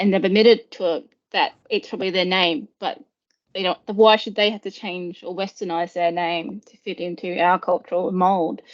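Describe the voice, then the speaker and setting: A woman in an Australian accent speaks with fairly even intonation but big swings in loudness. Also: medium pitch for a woman, moderate pace. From Australia, First Nations. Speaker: IT professional. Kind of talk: interview.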